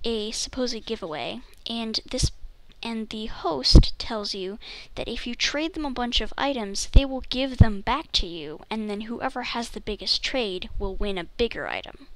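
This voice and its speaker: Soft-spoken and fairly slow, the voice comes through on a very clean recording with a silent background. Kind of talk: casual gameplay tips voiceover.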